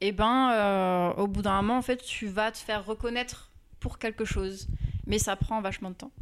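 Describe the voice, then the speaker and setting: On a very clean recording with a silent background, a woman with a plain, everyday voice speaks at a moderate pace with a fairly high pitch and fairly even intonation. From Normandy, France (Rouen). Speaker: illustrator. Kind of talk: interview.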